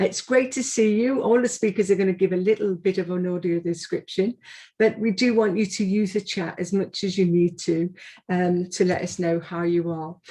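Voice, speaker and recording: A woman with a Liverpool accent speaks at a moderate pace with a dark, mellow, somewhat breathy tone and ordinary pitch variation. The background is quiet. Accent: Scouse (Liverpool). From Liverpool, England. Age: 60s. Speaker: arts organisation director. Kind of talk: event opening address. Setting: video call. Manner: hesitant with fillers.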